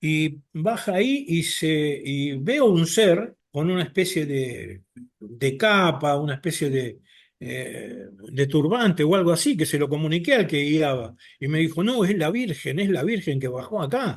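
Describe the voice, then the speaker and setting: A man's fairly high voice, a plain, everyday voice, with lively intonation at a moderate pace. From Argentina, Buenos Aires. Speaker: abductee sharing experiences. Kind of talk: personal testimony in podcast interview.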